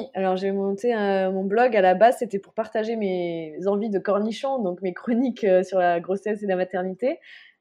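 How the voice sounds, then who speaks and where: A woman speaks at a moderate pace and medium pitch with ordinary pitch variation and hardly any pauses, in an unremarkable speaking voice. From France. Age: 30s. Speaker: journalist and mother. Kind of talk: casual interview.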